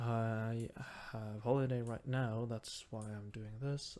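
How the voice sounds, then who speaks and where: A man speaks with a Norwegian accent at a medium pitch. His tone is dark and mellow, and his pace very slow. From Norway. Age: 20s. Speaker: gaming YouTuber. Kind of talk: let's play gaming commentary. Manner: halting, searching for words.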